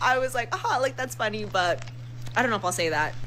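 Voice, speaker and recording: A woman with an American accent speaks with very wide pitch swings. Noticeable background noise is present. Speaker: social media storyteller. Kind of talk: casual storytelling. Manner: fast; animated.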